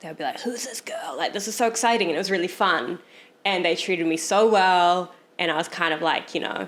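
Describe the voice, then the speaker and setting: At a fairly quick pace, a woman with a New Zealand accent speaks with ordinary pitch variation. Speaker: photographer. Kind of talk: casual chat.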